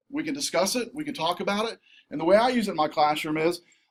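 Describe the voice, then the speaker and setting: The man's intonation is lively. He talks at a fairly quick pace. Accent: Southern US. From southern Missouri. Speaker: college instructor. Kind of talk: conference workshop presentation. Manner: fast; animated.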